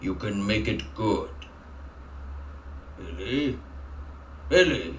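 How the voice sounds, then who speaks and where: Over clear background noise, a man uses a put-on character voice, very deep and low in pitch, at a very slow pace. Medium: game stream. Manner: halting, repetitive, unnatural delivery.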